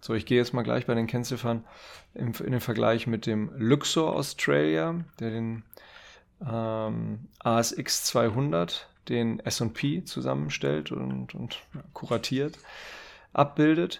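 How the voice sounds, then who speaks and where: A man at medium pitch with very wide pitch swings and a very slow pace, on a very clean recording with a silent background. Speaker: finance podcast co-host. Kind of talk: casual chat about investing. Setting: studio.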